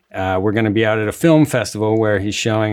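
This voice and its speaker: The speech comes at a very fast pace. Noticeable background noise runs underneath. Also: man. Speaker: TV writer. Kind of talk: casual interview chat.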